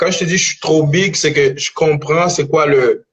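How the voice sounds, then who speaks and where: Somewhat breathy, this man's voice comes through. It sits at a fairly high pitch. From Dominican Republic, raised in Montreal. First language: Spanish (speaking French). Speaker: rapper. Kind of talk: casual interview. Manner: halting, repeats words.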